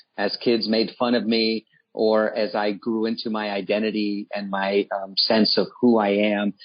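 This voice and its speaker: A man with a Washington, D.C. accent and a fairly low-pitched voice. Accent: American, D.C. area. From Washington, D.C. (from age 7; born in Nicaragua). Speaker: nonprofit CEO. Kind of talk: radio interview.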